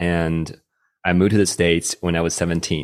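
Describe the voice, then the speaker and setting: A man with a Chinese accent, very deep and low in pitch, at a fairly slow pace on a very clean recording with a silent background. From China. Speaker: testimony-sharing guest, podcaster and video producer. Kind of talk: testimony, conversational interview. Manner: halting, with filler words and restarts.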